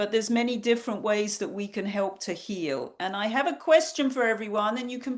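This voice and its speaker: A woman speaks with a British accent. Her voice sits at a fairly high pitch. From England. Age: 60s. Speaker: nutrition counselor. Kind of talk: online workshop talk.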